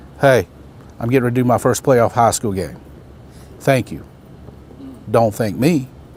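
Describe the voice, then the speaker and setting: A man with a Southern US accent, at a moderate pace, with ordinary pitch variation. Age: 60s. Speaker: baseball umpire and instructor. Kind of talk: motivational talk at a training camp.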